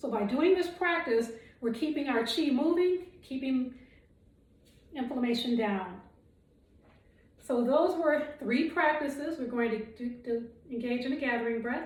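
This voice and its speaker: With audible room echo, a woman speaks at a high pitch and a fairly slow pace, using ordinary pitch variation and long, frequent pauses. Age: 60s. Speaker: qigong instructor. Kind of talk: guided exercise instruction. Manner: calm, measured.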